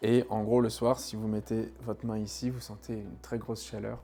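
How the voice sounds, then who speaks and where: Over music in the background, a man with a medium-pitched voice speaks fairly slowly in a monotone, flat way. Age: 30s. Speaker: tenant giving testimony. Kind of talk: testimony. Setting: at home, apartment. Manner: hesitant, many fillers.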